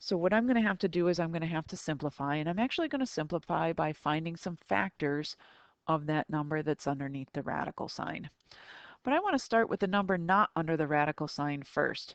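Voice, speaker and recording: A woman's unremarkable speaking voice, fairly low in pitch, with lively intonation and a dry, close sound free of echo. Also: fairly quick pace, quiet background. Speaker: math teacher. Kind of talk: recorded tutorial lesson.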